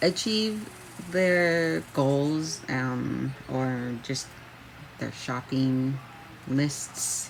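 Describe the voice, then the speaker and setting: A woman with a Canadian accent speaks at a very slow pace with a very deep, low pitch and lively intonation, leaving long, frequent pauses. Noticeable background noise runs under her voice. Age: 30s. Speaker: job seeker. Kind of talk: self-introduction video. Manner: halting, many fillers.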